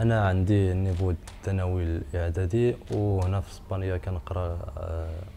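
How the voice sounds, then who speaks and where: Very deep and low, a man's voice moves at a fairly slow pace. His pitch variation is ordinary. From Morocco. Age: 20s. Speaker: job seeker. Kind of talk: video CV self-introduction. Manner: halting.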